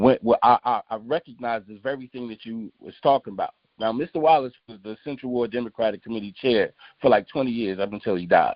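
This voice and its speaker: A man talks at a very fast pace in an animated tone, his medium pitch moving with ordinary variation. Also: big swings in loudness. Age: 60s. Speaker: community activist. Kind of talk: casual discussion.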